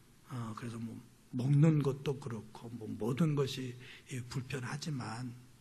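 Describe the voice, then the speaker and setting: A man's voice carries audible room echo. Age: 60s. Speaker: pastor and missionary. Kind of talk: sermon. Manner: less loud than usual, full after meal.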